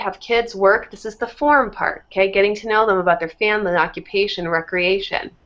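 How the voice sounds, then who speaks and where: Speaking at a moderate pace, a woman uses a normal speaking voice at medium pitch with ordinary pitch variation. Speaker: fitness coach. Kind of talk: tutorial.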